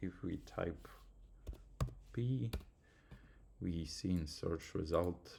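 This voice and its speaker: A man with a non-native accent, a very deep, low pitch, a dark, mellow tone, lively intonation and a very slow pace. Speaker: student. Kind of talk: tutorial. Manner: halting.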